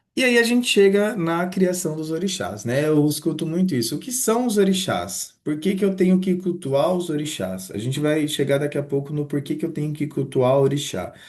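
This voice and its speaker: Fairly high male voice, warm in tone, with lively intonation at a moderate pace and audible room echo. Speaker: religion teacher. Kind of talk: online lecture. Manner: casual, warm teaching tone.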